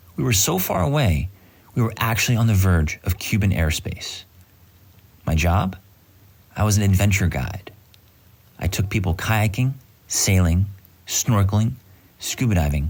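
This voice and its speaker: A man speaks at a moderate pace and a fairly low pitch, with ordinary pitch variation. His somewhat breathy voice holds a very even loudness. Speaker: actor and voice actor. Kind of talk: casual anecdote told to camera.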